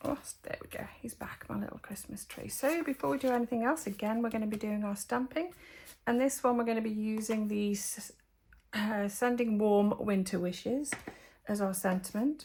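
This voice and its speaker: Her voice is somewhat breathy and fairly high in pitch. She speaks with a slight Geordie accent. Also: ordinary pitch variation, moderate pace. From northeast England, Northumberland (Geordie). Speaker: papercraft demonstrator. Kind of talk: crafting tutorial. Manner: casual, hesitant with fillers.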